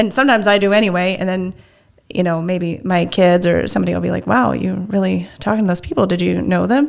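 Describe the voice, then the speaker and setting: Very fast speech amid noticeable background noise. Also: woman. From US Midwest, Nebraska. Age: 40s. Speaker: single mother, businesswoman. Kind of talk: interview. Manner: halting, frequent self-restarts.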